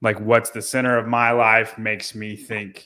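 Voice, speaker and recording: The pace is fairly slow. Intonation stays monotone and flat. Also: man. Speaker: podcast co-host. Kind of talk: casual chat. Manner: loud; halting.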